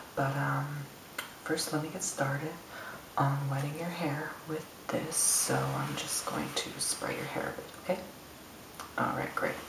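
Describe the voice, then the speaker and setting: This voice is whispering at a fairly slow pace. Long, frequent pauses break up the speech. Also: man. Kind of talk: ASMR roleplay talk. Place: bathroom. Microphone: phone near.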